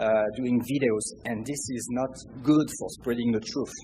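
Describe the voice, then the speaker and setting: A man's dark, mellow, somewhat breathy voice in a French accent, fairly slow in pace, with fairly even intonation. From France. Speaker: audience member. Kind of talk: audience question. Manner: halting.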